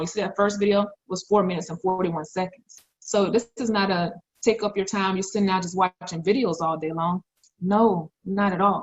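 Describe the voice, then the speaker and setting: A woman with a somewhat breathy voice talks at a fairly quick pace. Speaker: forex trading promoter. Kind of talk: sales pitch. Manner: fast; animated.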